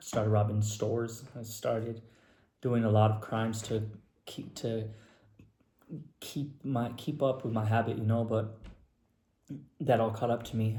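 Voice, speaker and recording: The voice is dark, mellow and somewhat breathy, with flat, monotone intonation and audible room echo. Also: man. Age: 30s. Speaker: person in addiction recovery. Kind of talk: personal testimony. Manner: casual, filler-heavy.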